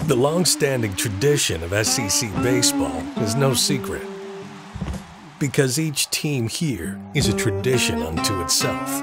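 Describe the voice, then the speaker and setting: With music in the background, a man at medium pitch talks at a fairly slow pace, his pitch swinging very widely. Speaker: voice actor. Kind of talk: sports promo read.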